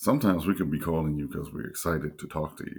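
A man talks at a very fast pace in a very deep, low pitch. Vocal fry runs through his voice. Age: 40s. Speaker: podcast guest, host's partner. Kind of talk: casual chat.

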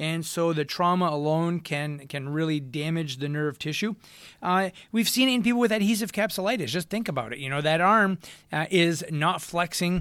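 High-pitched and animated in tone, a man with a slight French accent speaks at a moderate pace with ordinary pitch variation on a very clean recording with a silent background. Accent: slight French-accented American English. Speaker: physical therapist and podcast host. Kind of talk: educational monologue. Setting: home studio microphone. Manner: animated, hesitant with many fillers.

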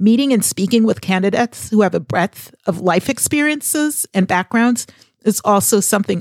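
A woman's normal speaking voice with an American accent, medium pitch, lively intonation and a fairly quick pace, dry and close with no echo. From US Northeast, Boston area. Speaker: podcast host, former HR recruiter. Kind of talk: scripted monologue.

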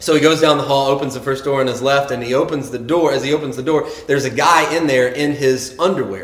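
An unremarkable speaking voice. It moves along at a fairly quick pace. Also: man. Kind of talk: joke-telling in a sermon, told as a deadpan anecdote with quoted dialogue.

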